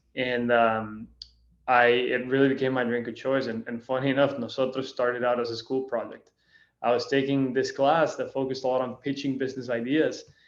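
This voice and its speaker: With a Spanish accent, the speaker talks at a fairly quick pace in a monotone, flat intonation. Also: man, medium pitch for a man. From Costa Rica. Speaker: spirits brand founder. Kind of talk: interview. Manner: casual.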